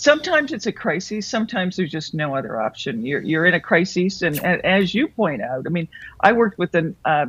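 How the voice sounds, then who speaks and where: A woman's fairly low voice moves through very wide pitch swings. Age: 60s. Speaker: author and business consultant. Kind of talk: interview.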